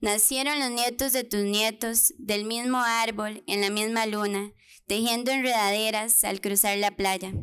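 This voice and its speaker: A woman's fairly high, bright, sharp voice at a fairly slow pace with fairly even intonation. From Costa Rica, Pérez Zeledón, rural; Costa Rica. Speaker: poet. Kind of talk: poetry reading. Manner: tender, nostalgic, measured. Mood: tender, nostalgic, solemn. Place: hall.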